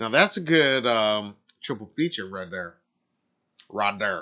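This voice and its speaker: A man's put-on character voice, drawling and fairly low-pitched, at a fairly slow pace with lively intonation. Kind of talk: casual.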